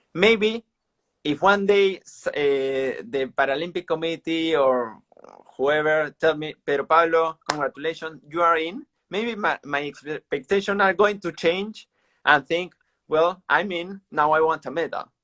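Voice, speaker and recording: A man with a Peruvian accent speaks at a fairly slow pace, high in pitch, with ordinary pitch variation and a bright, sharp tone. The sound is dry and close, with no echo. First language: Spanish. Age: 30s. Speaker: para-athlete. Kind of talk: interview. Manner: halting.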